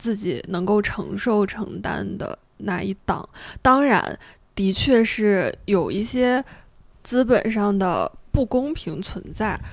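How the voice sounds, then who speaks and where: Here a woman talks very slowly. Ordinary pitch variation runs through her speech. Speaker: podcast host. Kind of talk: casual chat.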